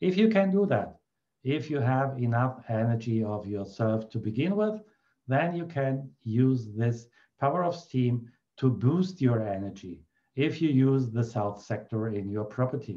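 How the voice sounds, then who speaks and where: A man with a German accent, a dark, mellow tone, lively intonation and a fairly slow pace. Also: medium pitch for a man. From Germany. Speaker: feng shui consultant. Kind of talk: tutorial.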